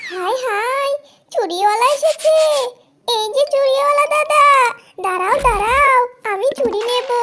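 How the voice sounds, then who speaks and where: Using a cartoonish character voice, a woman speaks at a fairly slow pace and an extremely high pitch. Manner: gushing, flirtatious.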